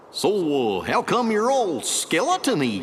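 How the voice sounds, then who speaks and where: Clear background noise beneath a man's fairly slow, put-on character voice. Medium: video game.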